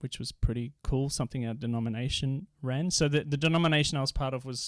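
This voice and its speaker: A man's fairly quick voice in an Australian accent, with fairly even intonation and a dry, close sound with no echo. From Australia, Victoria and Queensland. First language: Dutch. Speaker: poet and inner healer. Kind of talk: podcast interview.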